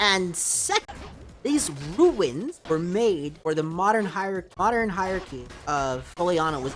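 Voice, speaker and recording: Quiet and fairly slow, a woman's voice moves through very wide pitch swings. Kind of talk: casual gaming commentary.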